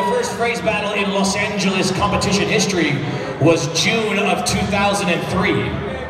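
Crowd noise fills the background as a man speaks with audible room echo. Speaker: competition emcee. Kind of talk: event announcement. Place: hall. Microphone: pa.

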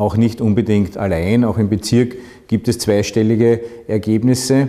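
The speaker is a man with a dark, mellow tone. His intonation stays fairly even. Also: quiet background. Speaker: local mayor. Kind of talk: interview answer. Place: office.

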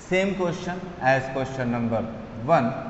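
There is audible room echo and light background noise. A man with an Indian accent speaks with ordinary pitch variation. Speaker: maths teacher. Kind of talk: lecture. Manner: code-switching Hindi and English. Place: classroom. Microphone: camera far.

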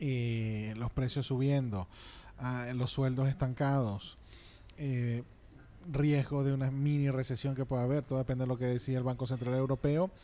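With a dark, mellow tone and fairly even intonation, a man speaks at a fairly slow pace. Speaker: radio host. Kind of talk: casual chat. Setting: studio. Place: studio. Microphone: studio mic.

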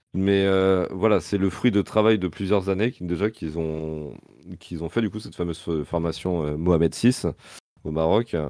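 A man with a very deep, low, dark and mellow voice speaks at a moderate pace with ordinary pitch variation, in a dry sound with no echo and a quiet background. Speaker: co-commentator. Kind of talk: live commentary and casual chat about a match. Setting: live stream. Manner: casual, relaxed.

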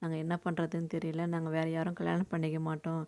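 A woman talks with a fairly low pitch. Her recording is very clean, the background silent. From Tamil Nadu, Tiruvannamalai district village. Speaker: YouTuber. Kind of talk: personal storytelling.

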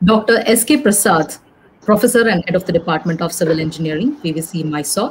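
A somewhat breathy woman at a moderate pace, with light background noise. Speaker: event host. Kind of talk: formal welcome speech. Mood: formal, polite. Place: home room.

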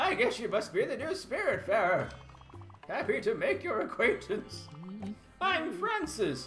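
Over clear music in the background, a man uses a put-on character voice at a moderate pace with long, frequent pauses. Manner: warm, polite greeting.

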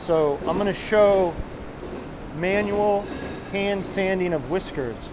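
Noticeable background noise sits behind a man speaking. His pitch is high for a man, with ordinary pitch variation. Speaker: denim designer touring a factory. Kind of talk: casual vlog tour commentary. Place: factory. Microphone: phone near.

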